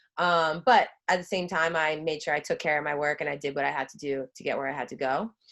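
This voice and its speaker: With a Long Island accent, a woman talks very fast in a very deep, low pitch, barely pausing. Her loudness swings widely while her pitch varies in an ordinary way. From Long Island, New York (Suffolk County, South Shore). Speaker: former college lacrosse player, brand ambassador. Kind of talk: casual podcast interview.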